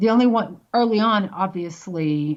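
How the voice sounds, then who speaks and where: A woman speaks with ordinary pitch variation. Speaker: medium and spiritual teacher. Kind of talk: interview answer.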